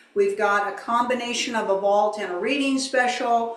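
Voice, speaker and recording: There is noticeable background noise and audible room echo as a woman speaks at a fairly high pitch. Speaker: channeler. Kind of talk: promotional announcements.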